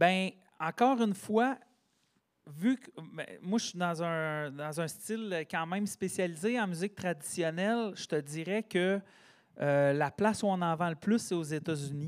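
The recording is very clean, with a silent background. A man with a high pitch speaks at a fairly slow pace with ordinary pitch variation. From Quebec, Sherbrooke region. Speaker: singer-songwriter and teacher. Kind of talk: casual interview chat.

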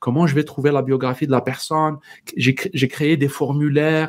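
A man's fairly high, flat, monotone voice at a moderate pace with a North African accent. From Algeria. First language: Berber (speaking French). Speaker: entrepreneur. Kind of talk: casual interview.

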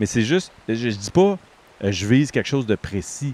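Very wide pitch swings run through a man's medium-pitched voice at a moderate pace. The sound is dry and close, without echo. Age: 50s. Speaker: podcast host. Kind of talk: casual chat. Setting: outdoors.

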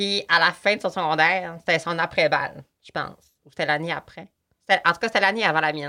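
A woman with a Saguenay–Lac-Saint-Jean accent speaks at a fairly quick pace in a fairly low pitch, her tone bright and sharp. Her loudness swings widely while her intonation stays fairly even, on a very clean recording with a silent background. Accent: Quebec French, Saguenay–Lac-Saint-Jean. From Quebec, Lac-Saint-Jean. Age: 18. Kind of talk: casual interview.

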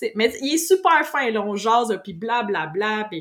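In a Quebec accent, a woman talks at a fairly high pitch. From Quebec, Saint-Hyacinthe. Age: 30s. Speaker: IT technician and business owner. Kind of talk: casual interview.

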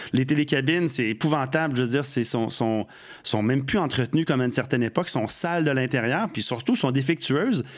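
Speaking at a fairly quick pace, a man with an unremarkable speaking voice uses ordinary pitch variation at a fairly high pitch. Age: 50s. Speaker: radio host and former bike shop co-owner. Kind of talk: casual chat.

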